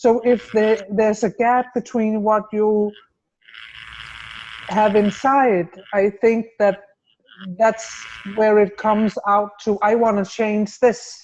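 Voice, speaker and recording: At a very slow pace with long, frequent pauses, a woman speaks in a monotone, flat intonation at a fairly high pitch and a very even loudness. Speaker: webinar guest. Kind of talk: casual chat. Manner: halting.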